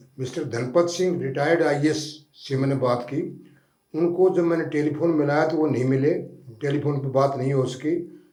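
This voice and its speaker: The voice has a dark, mellow tone and fairly even intonation. Audible room echo surrounds it. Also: man, fairly high pitch for a man. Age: 80s+. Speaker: retired police officer, advocate. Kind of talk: studio interview. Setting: studio.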